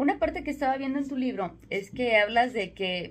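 With a Mexican accent, a woman speaks at a moderate pace. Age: 40s. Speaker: sales consultant and radio host. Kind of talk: radio interview.

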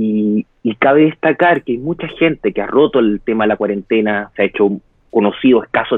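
This man has an ordinary speaking voice, medium in pitch, with ordinary pitch variation and a moderate pace. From Chile. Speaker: interviewee on quarantine life. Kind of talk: interview over live video.

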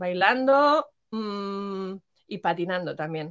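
Her medium-pitched voice carries at a very slow pace as the woman speaks. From Madrid, Spain. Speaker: former rapper. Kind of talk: interview. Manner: halting.

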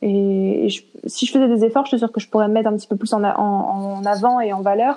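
Very fast and in a monotone, flat intonation, a woman speaks. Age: 20s. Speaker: interview guest sharing eating disorder experience. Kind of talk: casual interview. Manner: halting.

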